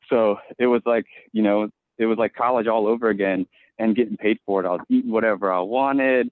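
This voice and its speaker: Speaking with an American accent, a man keeps a medium pitch, very even loudness and fairly even intonation at a fairly quick pace. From Virginia Beach, Virginia. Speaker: firefighter. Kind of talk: podcast interview. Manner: halting, many repetitions.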